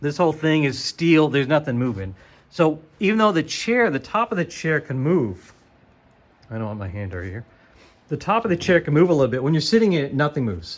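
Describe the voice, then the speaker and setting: The man's pitch is fairly high. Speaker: sim racing YouTuber. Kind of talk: casual product walkthrough. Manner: fast; casual, halting with fillers.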